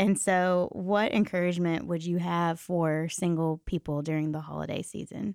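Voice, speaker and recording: With hardly any pauses, a woman talks at a moderate pace and fairly low pitch in an ordinary speaking voice, keeping her intonation fairly even. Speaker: podcast host. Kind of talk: casual interview.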